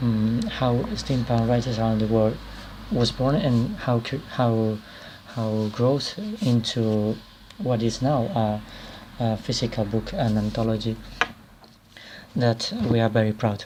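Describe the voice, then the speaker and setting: A man of medium pitch talks at a fairly slow pace with monotone, flat intonation, very even loudness and long, frequent pauses. Noticeable background noise runs underneath. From Spain. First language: Spanish. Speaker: author and anthology editor. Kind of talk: video presentation. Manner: halting, many repetitions and fillers.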